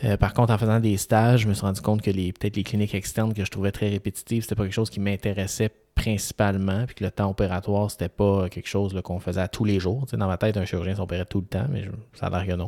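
In a Quebec accent, a man with fairly low pitch and a dark, mellow tone talks at a very fast pace with monotone, flat intonation. The recording is very clean with a silent background, its sound dry and close with no echo. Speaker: physician podcast co-host. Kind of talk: casual chat.

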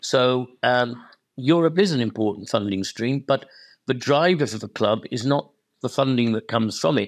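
Over a silent background in a very clean recording, a man with a Welsh accent talks at a moderate pace, his medium pitch showing ordinary variation. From Wales. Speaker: football club chairman. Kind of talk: interview.

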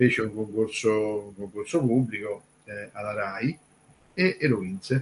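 This man talks at a fairly slow pace in a fairly low, somewhat breathy voice with ordinary pitch variation. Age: 60s. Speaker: music commentator. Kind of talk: casual chat.

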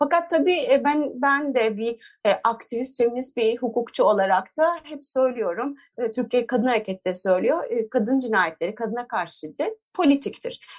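A woman speaks in a high pitch with lively intonation at a moderate pace. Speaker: feminist lawyer and activist. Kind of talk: interview.

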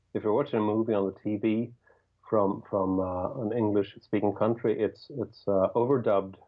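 Speaking with a Swedish accent, a man with a fairly low voice talks at a moderate pace with fairly even intonation. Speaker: rock guitarist and songwriter. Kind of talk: casual interview.

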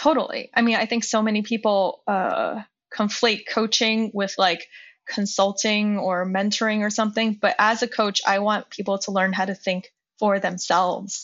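A woman speaks in a plain, everyday voice at a moderate pace. Her pitch is fairly high and her intonation fairly even. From US, Chinese immigrant family. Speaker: journalist and negotiation coach. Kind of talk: interview conversation.

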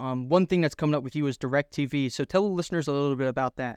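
Very fast speech with an American accent and ordinary pitch variation, dry and close with no echo against a quiet background. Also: man. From Philadelphia, US. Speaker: fishing podcast host. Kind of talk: casual interview.

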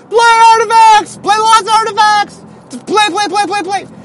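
Shouting in a loud, put-on character voice at an extremely high pitch, the speaker goes at a fairly slow pace. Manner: screaming.

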